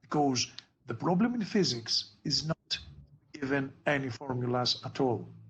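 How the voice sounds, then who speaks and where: Somewhat breathy and fairly high in pitch, a man with a Greek accent talks at a fairly slow pace. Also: ordinary pitch variation. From Greece. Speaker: physics tutor. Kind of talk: tutoring session.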